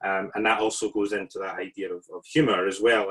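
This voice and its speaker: Here a man speaks at a fairly quick pace in a Scottish accent. The sound is dry and close, with no echo. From Scotland. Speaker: artist and researcher, invited respondent. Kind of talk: panel response to a lecture. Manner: hesitant, many fillers.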